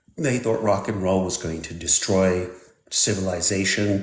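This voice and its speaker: Audible room echo carries a man's somewhat breathy, fairly low voice at a moderate pace. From Switzerland. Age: 60s. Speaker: technology expert. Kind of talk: live stream interview. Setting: live stream.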